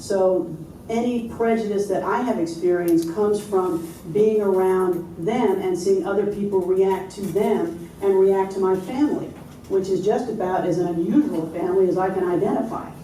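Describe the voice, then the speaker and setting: Amid noticeable background noise and audible room echo, a woman with an American accent speaks with fairly even intonation. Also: medium pitch for a woman, moderate pace. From New York. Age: 60s. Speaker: interfaith minister and lawyer. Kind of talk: panel discussion.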